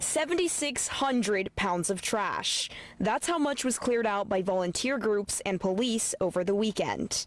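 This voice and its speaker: The intonation is lively, with hardly any pauses. Noticeable background noise runs underneath. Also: woman, fairly high pitch for a woman, moderate pace. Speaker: TV news reporter. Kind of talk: TV news reporting, live shots and packages.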